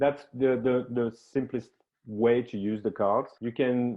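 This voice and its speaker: Speaking with a French accent, a man keeps a fairly slow pace and fairly even intonation. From France. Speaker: professional team coach and game designer. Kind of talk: interview. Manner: halting, with many fillers and repetitions.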